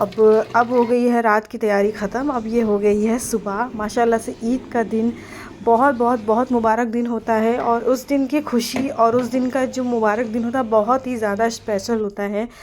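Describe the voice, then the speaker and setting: A woman with a fairly high pitch talks in a monotone, flat intonation with hardly any pauses, over noticeable background noise. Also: moderate pace. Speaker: family vlogger. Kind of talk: vlog voice-over narration.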